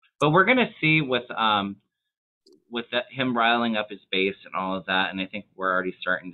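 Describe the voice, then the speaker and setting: A man talks at a moderate pace in an unremarkable speaking voice. His medium pitch carries lively intonation. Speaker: tarot reader. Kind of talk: casual chat.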